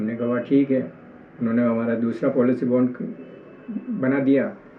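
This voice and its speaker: Monotone, flat intonation with audible room echo. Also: man. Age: 60s. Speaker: complainant, retired government employee. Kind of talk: testimony. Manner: halting.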